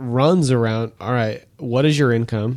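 Speaking at a medium pitch with a normal speaking voice, a man talks at a moderate pace with ordinary pitch variation. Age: 40s. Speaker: financial advisor. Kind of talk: casual chat.

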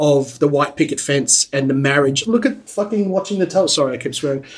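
This is a man speaking with an Australian accent. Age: 40s. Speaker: TV producer. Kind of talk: casual chat.

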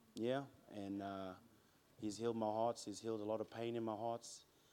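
At a moderate pace, a man talks in a fairly low pitch with monotone, flat intonation. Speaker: churchgoer sharing testimony, works in sales. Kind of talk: testimony. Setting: church. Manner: loud.

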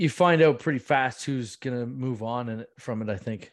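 A man with a Canadian accent has a plain, everyday voice at a medium pitch. He talks at a moderate pace with ordinary pitch variation against a quiet background. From Muskoka, Ontario, Canada. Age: 30s. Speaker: stand-up comedian and producer. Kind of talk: interview.

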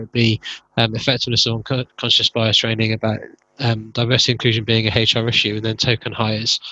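In an English accent, the speaker goes at a fairly quick pace with monotone, flat intonation. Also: man. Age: middle-aged. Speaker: podcast host. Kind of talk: interview conversation. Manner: halting.

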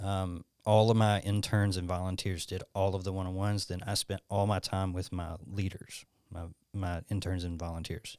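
Against a silent background in a very clean recording, a man with a Southern US accent speaks in a very deep, low, monotone, flat voice at a moderate pace. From Alabama, US South. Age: 30s. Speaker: youth pastor. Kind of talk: casual chat.

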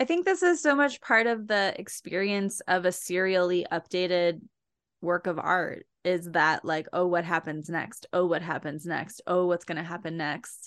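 Against a quiet background, a woman with a normal speaking voice talks at a moderate pace, her fairly low pitch showing ordinary variation. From New Jersey. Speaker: podcast co-host. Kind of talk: casual chat.

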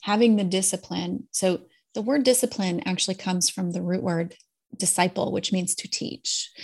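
The voice is somewhat breathy, with ordinary pitch variation. The recording is very clean, with a silent background. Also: woman, medium pitch for a woman, moderate pace. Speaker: podcast host and executive coach. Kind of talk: casual interview chat.

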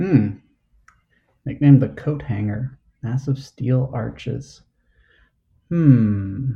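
Speaking at a very slow pace with long, frequent pauses, a man with an American accent has a somewhat breathy, dark, mellow tone, medium pitch and ordinary pitch variation. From New Jersey. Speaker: trivia host, quiz contestant. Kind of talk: quiz game play over video call. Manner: halting, many fillers.

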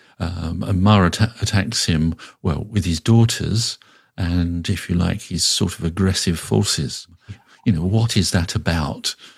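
A man talks at a fairly slow pace with a very deep, low pitch. His voice is somewhat breathy. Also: ordinary pitch variation. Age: 60s. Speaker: Buddhist teacher. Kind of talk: reflective interview conversation. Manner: hesitant, thoughtful, many fillers.

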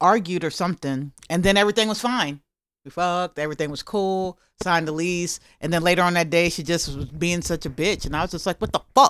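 On a very clean recording with a silent background and a dry, close sound free of echo, a woman with an unremarkable speaking voice talks at a fairly quick pace, her fairly low pitch showing ordinary variation. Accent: American. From Maryland. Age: 50s. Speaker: comedian. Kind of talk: casual chat. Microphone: not close enough to mic.

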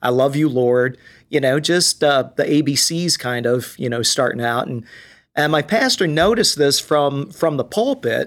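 A man speaks at a moderate pace in a normal speaking voice with a fairly high pitch. The recording is very clean, with a silent background. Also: ordinary pitch variation. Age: 60s. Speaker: worship pastor. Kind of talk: casual chat.

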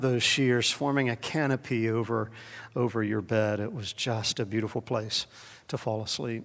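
A man's voice in a South Carolina accent, at a moderate pace with ordinary pitch variation. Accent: Southern US (South Carolina). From US South, Columbia, South Carolina. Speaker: pastor. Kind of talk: sermon.

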